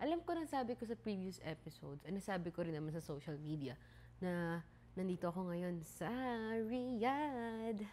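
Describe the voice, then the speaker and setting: A woman's medium-pitched voice with a dark, mellow tone, at a moderate pace. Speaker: podcast host. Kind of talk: casual podcast monologue. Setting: home, mother's flat. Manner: softer than usual, keeping quiet.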